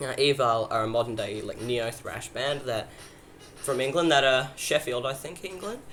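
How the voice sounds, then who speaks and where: This man's pitch sits at a medium level, varies in an ordinary way, and comes at a moderate pace. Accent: Australian. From Australia. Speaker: YouTuber, metal music reviewer. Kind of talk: casual video review, album countdown. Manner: casual, hesitant with fillers.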